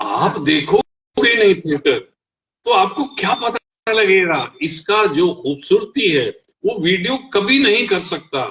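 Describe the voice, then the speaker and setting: A man talks at a high pitch with lively intonation. His tone is bright and sharp. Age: 70s. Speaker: veteran theatre actor. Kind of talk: panel discussion on acting.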